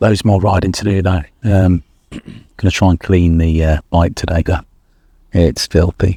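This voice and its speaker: A man with an English accent and a very deep, low pitch speaks at a moderate pace in a dark, mellow tone, with fairly even intonation and long, frequent pauses. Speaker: motorcycle travel vlogger. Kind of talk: casual vlog talk to camera. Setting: campsite outdoors.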